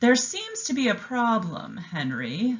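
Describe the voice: This is a female-sounding, put-on character voice. It is fairly high-pitched for a woman and moves at a fairly slow pace.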